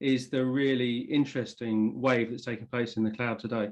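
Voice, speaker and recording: Fairly even intonation marks this man's speech, delivered with an English accent. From England. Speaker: tech company executive. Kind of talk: interview.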